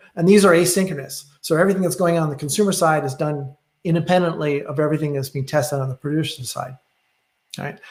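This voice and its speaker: A man talks at a very fast pace, his pitch fairly high and his pitch variation ordinary. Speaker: software presenter. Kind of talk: technical webinar presentation. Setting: online webinar. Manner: halting with many fillers.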